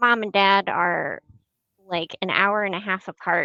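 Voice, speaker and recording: With a northern US accent, a woman speaks very slowly at a medium pitch with a bright, sharp tone and fairly even intonation. The sound is dry and close with no echo, over a quiet background. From Michigan. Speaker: podcast guest, host's niece. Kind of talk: casual chat. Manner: halting.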